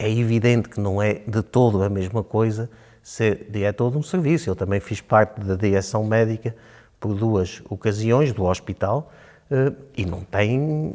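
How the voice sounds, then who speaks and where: A man's dark, mellow voice moves at a fairly slow pace over a very clean recording with a silent background. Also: fairly low pitch for a man, ordinary pitch variation. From Portugal, Chaves (Trás-os-Montes). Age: 60s. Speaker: local election candidate, physician. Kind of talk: interview. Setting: studio. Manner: hesitant, with filler sounds.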